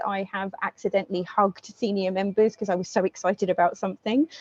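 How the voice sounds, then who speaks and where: At a fairly quick pace, a woman talks at medium pitch in a dry, close sound without echo. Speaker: guest speaker, project manager. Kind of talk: presentation talk. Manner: fast; speeds up when passionate.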